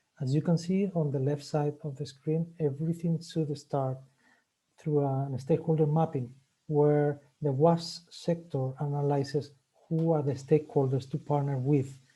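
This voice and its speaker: A man with a Spanish accent, fairly high-pitched and somewhat breathy, with a dark, mellow tone, monotone, flat intonation and a moderate pace against a quiet background. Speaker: webinar host. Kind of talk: webinar presentation. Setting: online webinar. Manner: hesitant, many fillers.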